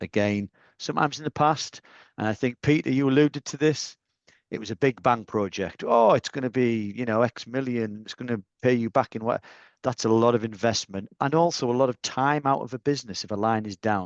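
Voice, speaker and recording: Speaking in a Northeast English accent, a man with a medium pitch talks at a fairly quick pace with ordinary pitch variation, the sound dry and close with no echo. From Northeast England. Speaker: industry panelist. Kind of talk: webinar panel discussion.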